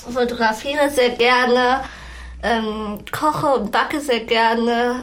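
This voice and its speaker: Audible room echo surrounds the speech. It goes at a very slow pace with fairly even intonation. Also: woman. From Lower Saxony, Hameln. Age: 20s. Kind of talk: interview.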